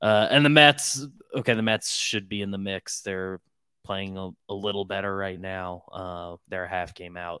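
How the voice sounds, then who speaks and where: A bright, sharp tone with big swings in loudness sits dry and close with no echo on a very clean recording with a silent background. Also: man, fairly low pitch for a man, ordinary pitch variation, fairly slow pace. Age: 20s. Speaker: baseball podcaster. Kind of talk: casual chat.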